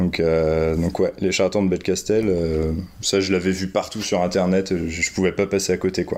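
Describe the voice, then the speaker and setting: At a moderate pace, a man with a very deep, low pitch speaks in a monotone, flat way at a very even loudness. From France. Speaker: graffiti artist and board game fan. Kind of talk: casual interview chat.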